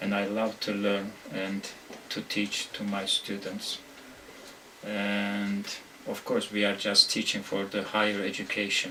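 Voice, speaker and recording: A man talks at a very slow pace with monotone, flat intonation. There is noticeable background noise. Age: 50s. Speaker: university English lecturer. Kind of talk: interview. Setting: office. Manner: halting, many hesitations.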